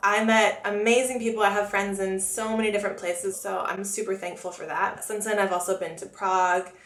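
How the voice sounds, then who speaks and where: A woman at medium pitch with an American accent, fairly even intonation, a fairly quick pace, hardly any pauses, and noticeable background noise. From US, Florida (Oviedo, near Orlando). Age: 20s. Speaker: makeup artist and beauty vlogger. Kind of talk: casual Q&A vlog. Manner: chatty, talkative.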